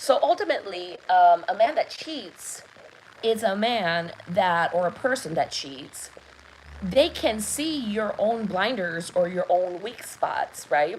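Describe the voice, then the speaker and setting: A woman with a non-native accent, at a very slow pace, her pitch swinging very widely. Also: medium pitch for a woman. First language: not English. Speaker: love and intuition coach. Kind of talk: live masterclass talk. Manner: hesitant, many fillers.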